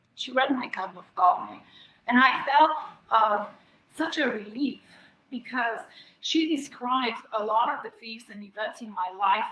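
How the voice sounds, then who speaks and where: A woman speaks at a fairly slow pace with a Bulgarian accent. Her intonation is lively. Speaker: psychic coffee reader. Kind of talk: presentation. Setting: stage with audience. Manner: halting.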